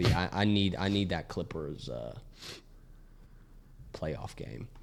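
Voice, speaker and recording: A man is speaking. His voice carries vocal fry. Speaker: sports podcast co-host. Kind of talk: casual chat.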